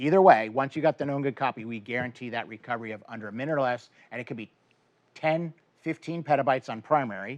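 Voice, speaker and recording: Against a quiet background with a dry, close sound and no echo, a man with an American accent speaks very fast at medium pitch, with ordinary pitch variation and big swings in loudness. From US West. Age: 60s. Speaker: tech marketing executive. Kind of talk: interview. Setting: studio. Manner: animated.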